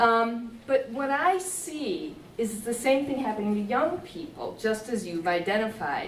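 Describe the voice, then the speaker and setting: Amid audible room echo, a woman with a fairly high pitch speaks at a fairly slow pace with very wide pitch swings. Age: 60s. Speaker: software developer in the audience. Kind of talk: audience discussion.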